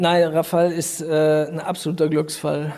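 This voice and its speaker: Noticeable background noise surrounds a man with a fairly high pitch. He talks at a fairly slow pace with fairly even intonation. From Rhineland, Germany (Düren). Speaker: volleyball club co-owner. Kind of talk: interview.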